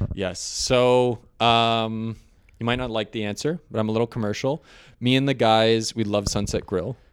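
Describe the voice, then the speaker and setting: With a Canadian accent, a man with an unremarkable speaking voice talks at a medium pitch and a moderate pace with fairly even intonation, in a very clean recording with a silent background. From Ontario, Canada (St. Catharines, Niagara). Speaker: business owner, network cabling and TV installer. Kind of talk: casual interview.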